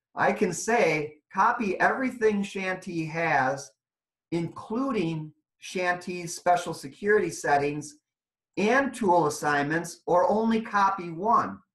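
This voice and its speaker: Very slow speech rings with audible room echo over a quiet background. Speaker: software trainer. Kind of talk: webinar training. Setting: online webinar. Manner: loud. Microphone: video call.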